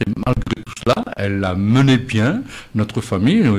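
A man talks at a fairly slow pace in a fairly low register. His voice is somewhat breathy. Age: old. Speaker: retired postman. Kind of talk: radio panel discussion.

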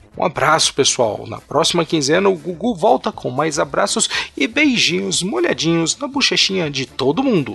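Over noticeable background noise, a man with a high pitch talks at a moderate pace with very wide pitch swings and hardly any pauses. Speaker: podcast host. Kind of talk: casual chat.

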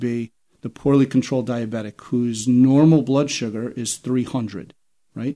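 With a dark, mellow tone, a man speaks in fairly even intonation. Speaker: toxicologist, physician, division head. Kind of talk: interview on a medical podcast.

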